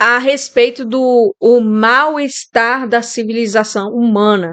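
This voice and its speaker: Her pitch is fairly high for a woman. She shows ordinary pitch variation. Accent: strong Bahian. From Brazil, Bahia. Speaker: YouTuber sharing reflections. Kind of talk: casual monologue. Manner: informal, hesitant.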